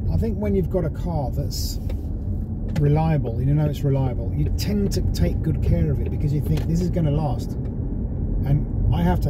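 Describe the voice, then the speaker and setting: Loud background noise underlies a man speaking at a moderate pace in a dry sound with no echo. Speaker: car vlogger. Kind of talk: casual driving commentary. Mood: relaxed, opinionated. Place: car.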